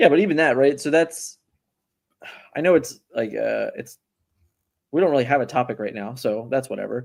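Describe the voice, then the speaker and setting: With vocal fry and a Philadelphia accent, this voice moves at a moderate pace with ordinary pitch variation and long, frequent pauses. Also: man, fairly high pitch for a man. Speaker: card game podcast host. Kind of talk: casual chat.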